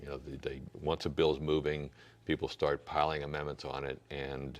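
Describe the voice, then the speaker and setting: This man has a very deep, low pitch and vocal fry, speaking with an American accent. His intonation is monotone and flat, at a moderate pace. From US Midwest, St. Louis area. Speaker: political candidate. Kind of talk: interview. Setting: church. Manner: halting, many fillers and repeats.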